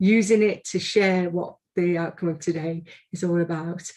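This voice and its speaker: A woman's medium-pitched voice in a Liverpool accent with a dark, mellow tone, a monotone, flat intonation and a moderate pace, over a quiet background. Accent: Scouse (Liverpool). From Liverpool, England. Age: 60s. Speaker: arts organisation director. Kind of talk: event opening address. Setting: video call. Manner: hesitant with fillers.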